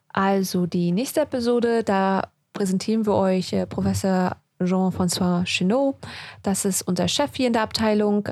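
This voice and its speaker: A woman with an ordinary speaking voice at a fairly slow pace, medium pitch, ordinary pitch variation, very even loudness, and a very clean recording with a silent background. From Germany, then UK from childhood. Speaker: podcast co-host, doctor. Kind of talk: casual chat. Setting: studio.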